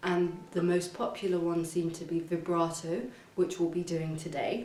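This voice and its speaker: A woman with a fairly low voice speaks at a moderate pace in a flat monotone, with audible room echo and noticeable background noise. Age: young. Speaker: violin teacher. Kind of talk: tutorial. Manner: casual, with fillers and restarts.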